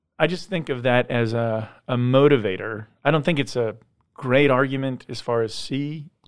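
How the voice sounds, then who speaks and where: Speaking in a normal speaking voice, a man keeps a medium pitch, ordinary pitch variation and a moderate pace. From US West Coast, San Diego. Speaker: pastor. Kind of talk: casual discussion. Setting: studio.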